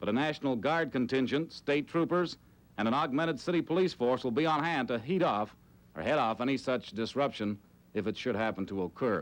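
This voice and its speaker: With lively intonation and a medium pitch, a man talks at a fairly quick pace in a normal speaking voice. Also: very clean recording, silent background. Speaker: TV sports anchor. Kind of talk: TV sports report.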